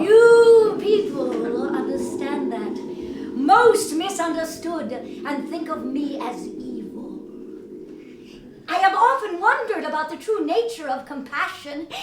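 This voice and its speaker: In a put-on character voice with an extremely high pitch, a woman speaks at a fairly slow pace with long, frequent pauses, over clear background noise and slight echo. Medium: stage play. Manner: gentle, patient, amused.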